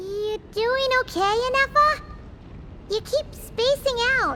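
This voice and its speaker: Fairly slow and at an extremely high pitch, the speaker performs in a put-on character voice. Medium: video game. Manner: lively, informal.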